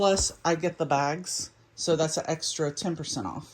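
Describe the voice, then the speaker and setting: A woman speaks at a fairly slow pace with a fairly low pitch. Her intonation is fairly even in an unremarkable speaking voice. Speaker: thrift reseller vlogger. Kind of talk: haul video show-and-tell. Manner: casual, with fillers.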